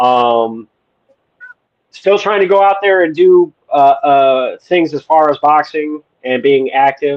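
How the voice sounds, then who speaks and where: With an American accent, a man speaks very slowly at a fairly high pitch. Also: ordinary pitch variation. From Wisconsin, US Midwest. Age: 40s. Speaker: podcast host, military veteran. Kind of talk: casual interview chat. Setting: live stream.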